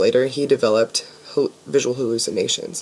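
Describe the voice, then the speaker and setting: The woman's voice sits very deep and low in pitch. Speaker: student. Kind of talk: academic class presentation. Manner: hesitant, stammering, many fillers. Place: home room. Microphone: webcam.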